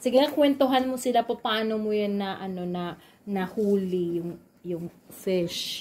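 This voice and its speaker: A woman speaks at a fairly slow pace with ordinary pitch variation. Light background noise is present. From Philippines. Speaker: vlogger. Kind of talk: casual cooking vlog. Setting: home kitchen. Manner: animated. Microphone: phone near.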